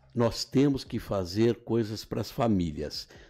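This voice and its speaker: This man's voice has a dark, mellow tone. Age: 70s. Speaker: politician. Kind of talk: interview. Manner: halting.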